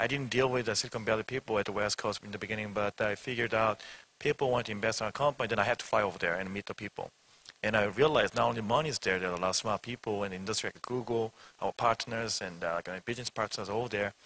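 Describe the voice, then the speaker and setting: Speaking at a very fast pace with a Korean accent, this man has a fairly low, bright and sharp-toned voice, fairly even intonation, and a dry, close sound with no echo. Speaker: startup CEO. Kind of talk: panel discussion. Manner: halting.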